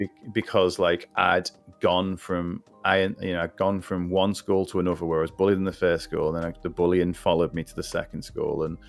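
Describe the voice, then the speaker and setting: A man with a Liverpool accent, a very deep, low pitch, fairly quick pace and monotone, flat intonation, with music in the background. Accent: Scouse (Liverpool). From Liverpool, England. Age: 40s. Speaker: podcast guest. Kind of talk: casual chat. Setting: live stream podcast. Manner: halting, many restarts.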